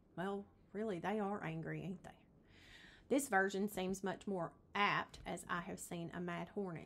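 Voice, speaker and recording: A woman with a Southern accent speaks at a moderate pace in a medium pitch, with ordinary pitch variation. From Tennessee. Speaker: realtor. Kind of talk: casual explainer video. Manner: chatty with frequent fillers.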